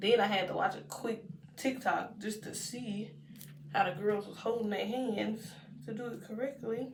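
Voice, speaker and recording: A woman with a Texan accent, fairly high pitch, ordinary pitch variation, big swings in loudness and a moderate pace. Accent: Texan American English. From Texas. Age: 20s. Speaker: lifestyle vlogger. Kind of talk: casual day-in-the-life talk to camera.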